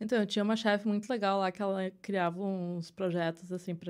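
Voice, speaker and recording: A woman speaks at a moderate pace with fairly even intonation on a very clean recording with a silent background. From southern Brazil, Porto Alegre. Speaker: illustrator and visual artist. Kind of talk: interview conversation. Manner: halting, many fillers.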